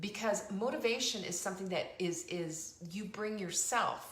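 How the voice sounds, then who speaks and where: Ordinary pitch variation from a woman, with room echo audible and background noise noticeable. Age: 60s. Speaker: talk show host and cookbook author. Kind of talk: motivational live-stream monologue. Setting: live online show. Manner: conversational.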